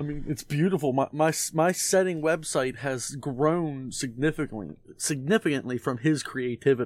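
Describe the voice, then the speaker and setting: A plain, everyday voice from a man, fairly high in pitch, with ordinary pitch variation, a moderate pace and hardly any pauses. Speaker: dungeon master. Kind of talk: casual chat.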